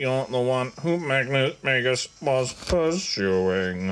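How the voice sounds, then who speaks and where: Very slowly, the words come out in a put-on character voice. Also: man, medium pitch for a man. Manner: terse, stoic.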